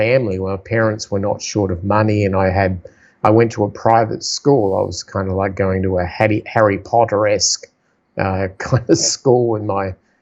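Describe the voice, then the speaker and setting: The voice has an Australian accent. Its intonation stays fairly even. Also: man. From South Australia. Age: 50s. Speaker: entrepreneur and investor. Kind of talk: podcast interview.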